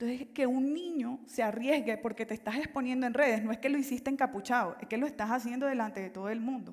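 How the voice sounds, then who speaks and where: Against a quiet background, a woman with a high pitch and ordinary pitch variation talks at a very fast pace with hardly any pauses. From Colombia, Caribbean coast (Valledupar). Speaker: life coach and consultant. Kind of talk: motivational talk. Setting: stage with audience. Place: stage.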